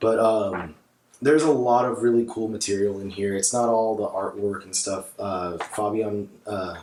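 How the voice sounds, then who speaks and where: A man at a moderate pace, fairly low in pitch and fairly even in intonation, over noticeable background noise. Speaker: comic book collector. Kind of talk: casual talk to camera. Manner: hesitant, many fillers.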